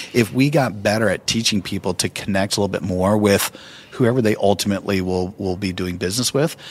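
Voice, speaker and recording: Talking at a very fast pace, a man has a fairly low pitch with ordinary pitch variation. Noticeable background noise is present. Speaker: keynote speaker and author. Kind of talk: interview.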